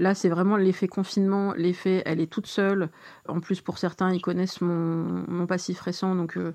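With a dark, mellow tone and fairly even intonation, a woman speaks at a medium pitch and a moderate pace. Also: quiet background. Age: 40s. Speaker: dating app user. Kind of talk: personal testimony. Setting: at home.

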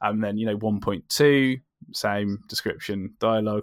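In a very clean recording with a silent background and a dry, close sound with no echo, a man with a fairly low pitch and a southern English accent speaks at a fairly slow pace. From southern England. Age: 30s. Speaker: comic book writer. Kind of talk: casual interview. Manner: halting.

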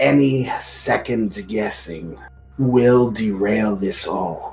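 A man in a put-on character voice, speaking very slowly over faint music in the background. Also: fairly low pitch for a man. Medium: actual play. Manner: measured, wry.

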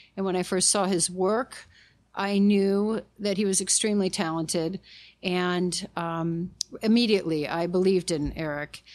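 A woman has a normal speaking voice at a medium pitch, talking at a moderate pace with fairly even intonation. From Detroit. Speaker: photographer and artist. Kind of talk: casual chat. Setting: studio.

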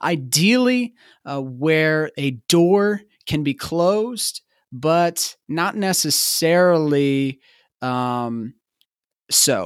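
In a very clean recording with a silent background and a dry, close sound with no echo, a man speaks very slowly with lively intonation and a fairly high pitch. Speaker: podcast host. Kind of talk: casual interview chat.

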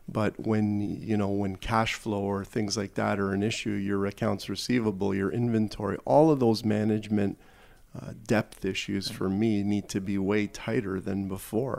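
A man with a Canadian accent talks at a moderate pace in an ordinary speaking voice. His pitch is fairly low and his intonation fairly even. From Toronto, Canada. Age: 50s. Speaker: corporate executive. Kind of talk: interview.

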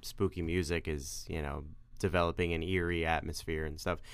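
A man with a New York accent and a very deep, low pitch, at a fairly quick pace, on a very clean recording with a silent background. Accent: New York, drops R's. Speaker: podcast co-host. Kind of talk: casual chat.

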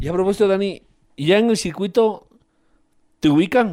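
A man's dark, mellow tone. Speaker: sports radio host. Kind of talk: radio interview.

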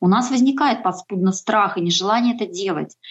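An unremarkable speaking voice belongs to a woman at medium pitch. Her pitch variation is ordinary and her pace moderate. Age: 40s. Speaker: homemaker and freelancer on a healthy-eating journey. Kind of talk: casual interview.

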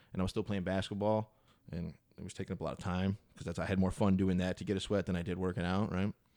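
At a very fast pace, a man with a very deep, low pitch and a dark, mellow tone speaks in a monotone, flat intonation. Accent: American. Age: 30s. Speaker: fitness trainee. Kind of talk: casual chat.

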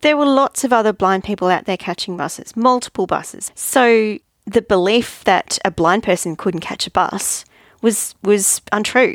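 A medium-pitched woman with an Australian accent at a moderate pace, in a very clean recording with a silent background. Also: ordinary pitch variation, dry, close sound with no echo. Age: 50s. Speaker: podcast host, life coach. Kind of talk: monologue podcast, personal development talk.

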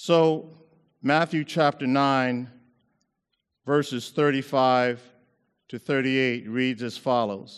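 In a very clean recording with a silent background, the speech is very slow, with fairly even intonation and long, frequent pauses. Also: man, medium pitch for a man. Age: 60s. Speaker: preacher. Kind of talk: sermon. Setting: university chapel with audience.

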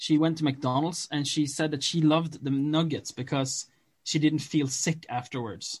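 Somewhat breathy, a man with a Norwegian accent speaks at a fairly high pitch in a monotone, flat intonation. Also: moderate pace. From Norway. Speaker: podcast co-host. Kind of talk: casual chat.

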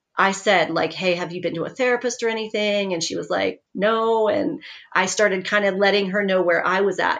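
A woman's normal speaking voice at medium pitch, with ordinary pitch variation, at a moderate pace, against a quiet background. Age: 40s. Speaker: author and former physician assistant. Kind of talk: interview, personal testimony.

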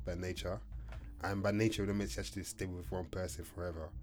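Vocal fry marks a man's very deep, low voice, heard with audible room echo. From Kent, England. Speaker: podcast co-host. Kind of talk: casual chat.

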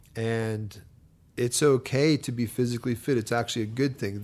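At a fairly quick pace, a man with medium pitch and an unremarkable speaking voice talks with fairly even intonation. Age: 30s. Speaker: church volunteer and obstacle course athlete. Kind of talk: casual chat.

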